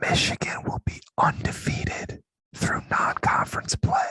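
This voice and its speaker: In a whispered, raspy put-on character voice, the speaker goes at a fairly slow pace with a nervous tone. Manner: whispering, nervous.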